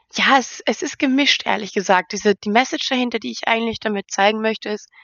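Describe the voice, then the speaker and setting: This woman has an ordinary speaking voice, fairly high in pitch with ordinary pitch variation. Her pace is fairly quick. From Austria, near Vienna. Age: 20s. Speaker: model and reality TV participant. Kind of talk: interview.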